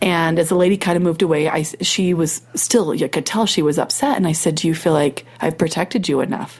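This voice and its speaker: A woman with a Utah accent speaks at a fairly quick pace with hardly any pauses, her fairly low voice showing ordinary pitch variation and very even loudness. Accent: Utah American English. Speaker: podcast host. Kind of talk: casual chat; storytelling. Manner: animated.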